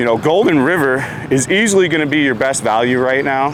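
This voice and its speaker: A man talking at a fairly quick pace, with noticeable background noise and audible room echo. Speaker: vlogger / expat apartment guide. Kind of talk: casual vlog. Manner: fast talker; many fillers (uh, so).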